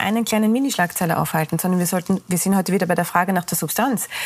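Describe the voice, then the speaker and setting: A woman speaks very fast at a medium pitch with ordinary pitch variation, over noticeable background noise. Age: 40s. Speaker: think tank director. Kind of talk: TV panel discussion. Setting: TV studio.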